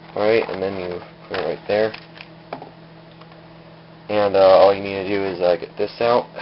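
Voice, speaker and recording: A man with a fairly low pitch, flat monotone intonation, long and frequent pauses, and noticeable background noise. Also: moderate pace. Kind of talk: casual home demo talk to camera. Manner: a little mumbling.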